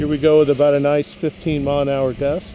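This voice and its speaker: This man's voice sits fairly high in pitch and moves at a moderate pace. Noticeable background noise runs behind him. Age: 60s. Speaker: hobbyist drone pilot. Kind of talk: tutorial. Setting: outdoors. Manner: casual.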